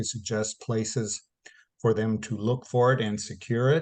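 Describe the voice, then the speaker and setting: A man at medium pitch and a fairly slow pace, against a quiet background. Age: 60s. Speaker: folk music director of a cultural club association. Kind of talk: interview. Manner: halting, many fillers.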